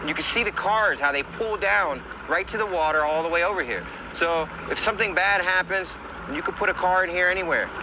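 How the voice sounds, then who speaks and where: Over noticeable background noise, a man with a high-pitched voice talks at a fairly quick pace with ordinary pitch variation. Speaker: search and recovery diver. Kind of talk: on-location search narration. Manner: quiet, hushed.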